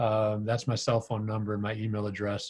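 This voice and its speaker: A man talks at a moderate pace with a Midwestern accent. His voice is somewhat breathy. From US Midwest, Green Bay, Wisconsin. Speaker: financial marketing consultant. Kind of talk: webinar presentation. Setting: video call. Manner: hesitant, many fillers.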